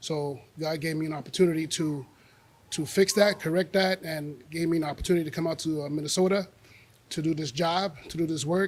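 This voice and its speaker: With a New York accent, a man talks at a very fast pace in a fairly high voice with ordinary pitch variation. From New York City, the Bronx. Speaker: retired corrections officer and arts program founder. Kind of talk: public talk. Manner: halting.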